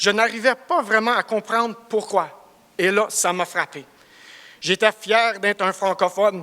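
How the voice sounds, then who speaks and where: A man speaks very slowly in a raised, projected voice with a high pitch. His tone is bright and sharp, with fairly even intonation. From Cornwall, eastern Ontario, Canada (Franco-Ontarian). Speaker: construction project director. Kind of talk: business presentation. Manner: halting, searching for words.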